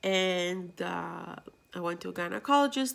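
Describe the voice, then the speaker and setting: A woman speaks with a Greek accent at a medium pitch and a moderate pace, her intonation lively, on a very clean recording with a silent background. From Greece. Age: 30s. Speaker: vlogger. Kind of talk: personal vlog.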